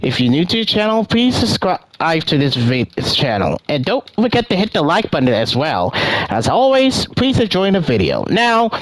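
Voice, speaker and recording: Over noticeable background noise, a man with a high voice for his sex talks at a moderate pace with hardly any pauses, very wide pitch swings and very even loudness. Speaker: gaming youtuber. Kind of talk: commentary video. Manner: stutters, halting.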